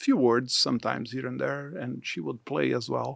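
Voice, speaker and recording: Speech comes in a Portuguese accent. The pace is fairly slow. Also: man. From southern Brazil. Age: 60s. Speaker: church mission leader. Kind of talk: interview.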